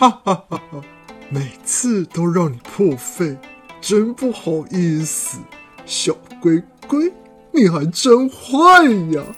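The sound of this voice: Putting on a character voice with a slightly husky edge, a woman speaks slowly at a fairly low pitch with big pitch swings, faint music playing in the background.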